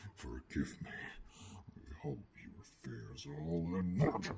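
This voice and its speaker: Growling in a gruff, put-on character voice, a man speaks at a very slow pace with a very deep, low pitch. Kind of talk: ASMR roleplay. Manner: calm, menacing.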